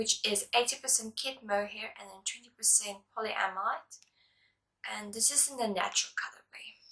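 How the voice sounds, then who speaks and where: A bright, sharp tone with big swings in loudness. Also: woman, fairly high pitch for a woman, ordinary pitch variation, moderate pace. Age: 20s. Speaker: knitting podcaster. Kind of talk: casual vlog talk. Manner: casual with fillers.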